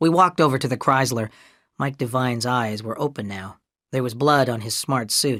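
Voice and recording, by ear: A person reading aloud in a natural voice shows ordinary pitch variation, with a quiet background behind.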